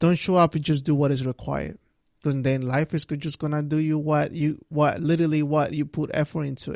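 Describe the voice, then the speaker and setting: A man with a non-native accent at a fairly quick pace, monotone and flat, in a dry, close sound with no echo. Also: fairly high pitch for a man. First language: not English. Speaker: solo podcast host. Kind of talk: motivational monologue. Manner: repetitive, halting restarts; casual conversational.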